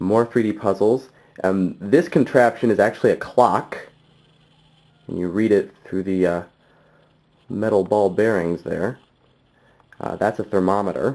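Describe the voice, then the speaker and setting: A man speaks at a fairly low pitch with ordinary pitch variation. He leaves long, frequent pauses. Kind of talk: casual talk to camera. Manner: hesitant, stumbling, many fillers.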